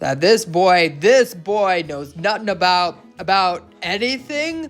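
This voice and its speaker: A man's put-on character voice, growling at a high pitch and a fairly slow pace, with faint music in the background. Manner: angry growl, thundering.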